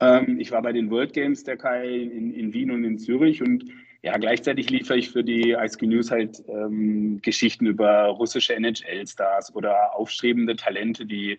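At a fairly slow pace, a man speaks at medium pitch in a flat monotone. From Freiburg, southwestern Germany. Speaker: ice hockey journalist. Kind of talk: interview. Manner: hesitant, many filler sounds.

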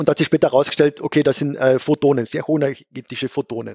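Here a man talks at a very fast pace. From Austria, Carinthia (Gailtal). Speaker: astrophysicist, book author. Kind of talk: casual science chat.

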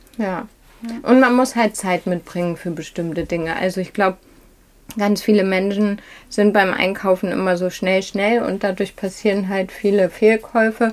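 A woman with a plain, everyday voice, medium pitch, fairly even intonation and a moderate pace. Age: 40s. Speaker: fashion shop owner. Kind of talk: interview. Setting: in her shop.

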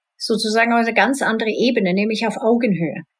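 A woman with a Swedish accent speaks at a fairly high pitch. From Sweden, partly Spain. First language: Swedish (speaking German). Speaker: IT executive and rock singer. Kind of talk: interview.

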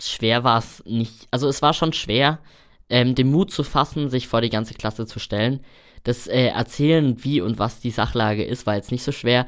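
A man with a plain, everyday voice talks at a moderate tempo in a medium pitch, varying it in an ordinary way. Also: very clean recording, silent background. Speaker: trainee chimney sweep. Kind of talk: interview.

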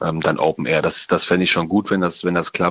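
A man's very deep, low voice at a very fast pace, with monotone, flat intonation. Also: dry, close sound with no echo. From Germany, Rhein-Sieg-Kreis. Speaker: rock band guitarist. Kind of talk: interview. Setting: phone or remote line.

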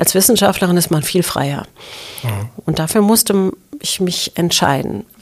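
A woman's fairly low-pitched voice with lively intonation over noticeable background noise. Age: 50s. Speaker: university president. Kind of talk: interview.

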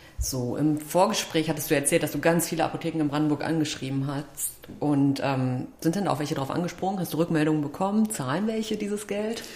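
At a very fast pace and hardly pausing, a woman with a very deep, low pitch and ordinary pitch variation talks over noticeable background noise. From Altmark, Saxony-Anhalt. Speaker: podcast host. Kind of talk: interview. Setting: staff break room at the school.

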